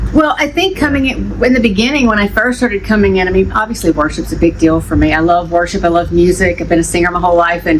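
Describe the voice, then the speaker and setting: Very fast, lively speech from a woman with an American accent, hardly any pauses, and noticeable background noise. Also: fairly low pitch for a woman. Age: 40s. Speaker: youth ministry leader. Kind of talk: casual chat.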